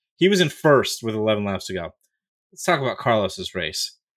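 At a fairly slow pace, a man with medium pitch has an unremarkable speaking voice. The recording is very clean, the background silent. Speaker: podcast host. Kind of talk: casual chat.

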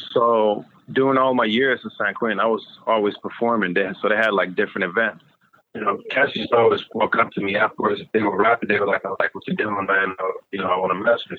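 Very fast in pace, a man talks at medium pitch with fairly even intonation. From Sweden. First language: Swedish. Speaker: music producer and former prisoner. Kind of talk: interview.

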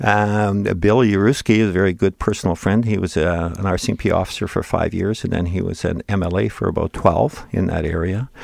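Over noticeable background noise, a man with a Canadian accent speaks at a fairly low pitch and moderate pace with ordinary pitch variation. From Manitoba, Canada (rural Interlake). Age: 70s. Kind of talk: interview storytelling. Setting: studio. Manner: talkative.

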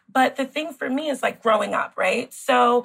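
With an American accent, the voice shows vocal fry and ordinary pitch variation. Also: woman. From New York City, the Bronx. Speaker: gynecologist. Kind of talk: interview.

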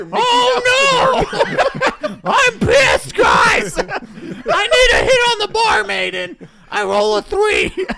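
A man's put-on character voice at an extremely high pitch, delivered at a very slow pace. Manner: pissed, exasperated.

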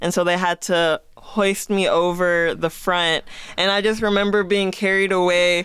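A woman's flat, monotone voice at medium pitch, fairly slow in pace, with very even loudness throughout. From Las Vegas. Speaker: podcast producer. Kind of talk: casual conversational podcast chat.

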